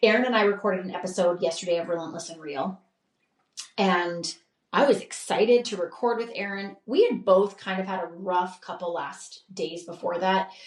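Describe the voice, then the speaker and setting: Her voice is an ordinary speaking voice, a woman at medium pitch with ordinary pitch variation, a moderate pace and big swings in loudness. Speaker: podcast host. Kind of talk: podcast monologue.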